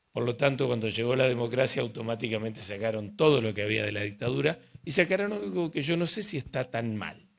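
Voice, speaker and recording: The intonation is lively. A man talks at a very fast pace. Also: medium pitch for a man, hardly any pauses. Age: 60s. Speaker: urology professor. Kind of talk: casual interview conversation.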